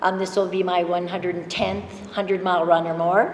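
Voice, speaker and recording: A woman speaks at a medium pitch and moderate pace, her intonation flat and monotone. Noticeable background noise and audible room echo fill the recording. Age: 60s. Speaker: ultrarunner. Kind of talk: panel introduction. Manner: halting.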